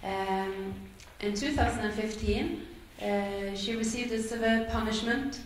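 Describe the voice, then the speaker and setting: The speaker talks at a very slow pace, with long, frequent pauses. Audible room echo and light background noise sit behind the voice. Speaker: event moderator. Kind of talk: event moderation. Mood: serious, somber. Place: hall. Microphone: camera far.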